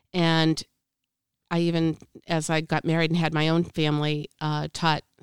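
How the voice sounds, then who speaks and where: A woman with an American accent speaks at a fairly slow pace, her very deep, low pitch delivered in monotone, flat intonation. The sound is dry and close with no echo, on a very clean recording with a silent background. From Boston, US. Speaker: church volunteer and class coordinator. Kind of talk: testimony.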